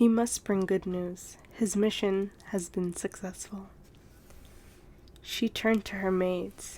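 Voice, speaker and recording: A soft-spoken woman at a medium pitch and very slow pace, with a soothing, calm, dark and mellow tone and monotone, flat intonation. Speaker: ASMR storyteller. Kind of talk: read story.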